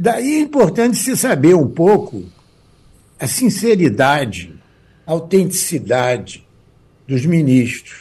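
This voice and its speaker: With a dark, mellow tone and high pitch, a man speaks at a very slow pace with very wide pitch swings and long, frequent pauses. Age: 80s. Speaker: jurist and law professor. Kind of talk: radio interview.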